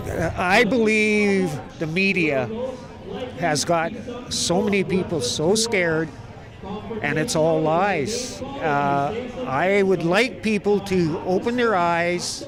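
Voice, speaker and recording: A man with a Canadian accent speaks very slowly at a high pitch, with lively intonation and very even loudness. Audible room echo and noticeable background noise surround him. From Canada. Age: 60s. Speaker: rally attendee. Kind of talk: street interview.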